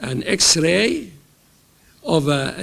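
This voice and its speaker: The speaker is a man with a fairly high pitch. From Egypt. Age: 80s+. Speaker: professor. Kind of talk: lecture. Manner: halting.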